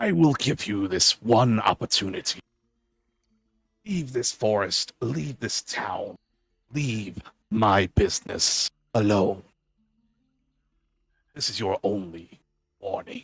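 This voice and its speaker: A man speaks loudly in a raspy, put-on character voice at medium pitch and a fairly slow pace, leaving long, frequent pauses. The sound is dry and close, with no echo. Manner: threatening warning.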